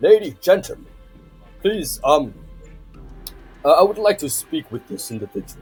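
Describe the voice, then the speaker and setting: A man's gruff, high-pitched, put-on character voice at a moderate pace, broken by long, frequent pauses, with faint music in the background. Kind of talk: formal, polite.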